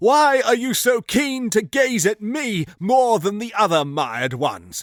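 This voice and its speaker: Doing a put-on character voice, a man speaks at a fairly slow pace with a high pitch for a man and very wide pitch swings, in a dry, close sound with no echo. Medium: read story.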